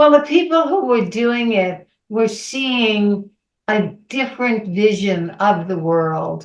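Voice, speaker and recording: Very slow speech in a New York accent. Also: woman. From New York City. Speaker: underground cartoonist. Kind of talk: interview.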